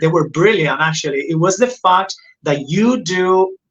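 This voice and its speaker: In a Spanish accent, a man talks at a moderate pace. His pitch is high, with ordinary variation. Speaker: podcast host. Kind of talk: interview. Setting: live stream.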